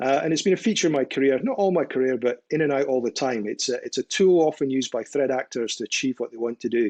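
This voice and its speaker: Speaking very fast at a medium pitch with ordinary pitch variation, a man with a Scottish accent is heard in a dry, close sound with no echo over a quiet background. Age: old. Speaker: cybersecurity expert. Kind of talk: interview.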